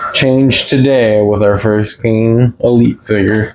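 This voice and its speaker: A man talks at a very slow pace. Noticeable background noise is present. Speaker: toy collector youtuber. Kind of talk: unboxing review. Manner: casual, self-correcting.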